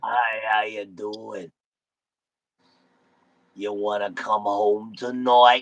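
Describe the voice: A man puts on a gravelly character voice, fairly low in pitch and monotone and flat. He goes at a very slow pace with long, frequent pauses.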